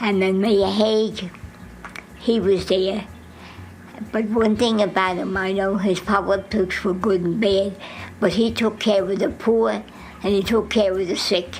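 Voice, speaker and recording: Against noticeable background noise, the voice stays monotone and flat. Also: woman, medium pitch for a woman, fairly slow pace. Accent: New Jersey. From Jersey City, New Jersey. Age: 80s+. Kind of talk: interview answer.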